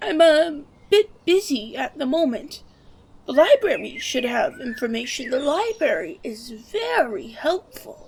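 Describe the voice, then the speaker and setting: A put-on character voice, delivered fairly slowly. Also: female-sounding voice, high pitch for a woman. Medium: machinima. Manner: evasive.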